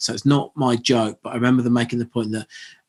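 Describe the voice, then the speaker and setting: At medium pitch and with fairly even intonation, a man speaks in an English accent. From southern England. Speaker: media founder and editor. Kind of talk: interview conversation. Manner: halting, many repetitions.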